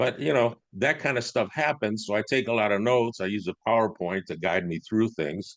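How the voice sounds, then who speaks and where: With a normal speaking voice, a man talks at a moderate pace and a fairly low pitch, using ordinary pitch variation and hardly any pauses. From USA, immigrant from Italy as a baby. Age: 60s. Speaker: business coach and entrepreneur. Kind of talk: podcast interview.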